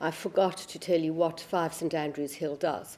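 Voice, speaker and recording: A woman speaks with a South African accent. Her pitch is fairly low and her pace moderate. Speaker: barrister. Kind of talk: panel talk.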